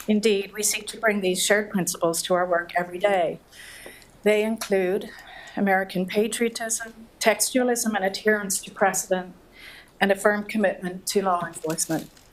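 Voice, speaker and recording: A woman at medium pitch speaks at a moderate pace with monotone, flat intonation and big swings in loudness, over noticeable background noise. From Ireland, Dublin. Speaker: government antitrust official. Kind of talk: keynote speech read from a script. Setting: lecture hall with audience, mic. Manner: soft-spoken; formal.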